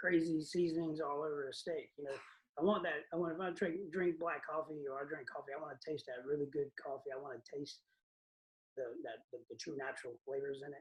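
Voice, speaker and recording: The man's voice sits fairly high for a man. He moves at a fairly quick pace with fairly even intonation. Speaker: catering business owner. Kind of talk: casual chat. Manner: halting.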